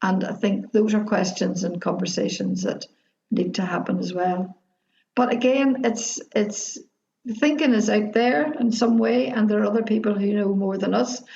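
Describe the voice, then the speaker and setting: A woman speaks at a moderate pace and a medium pitch, her intonation lively. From Derry, Northern Ireland. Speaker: activist, retired teacher. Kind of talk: interview answer. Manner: joyful, humorous.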